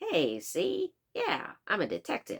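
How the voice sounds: A put-on character voice in a Chicago accent, at a fairly slow pace.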